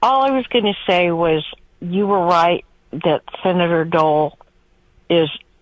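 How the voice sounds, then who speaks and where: Speaking very slowly with an American accent, a woman talks in a fairly low voice. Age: 60s. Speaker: caller. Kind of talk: phone-in call. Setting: phone call. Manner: halting.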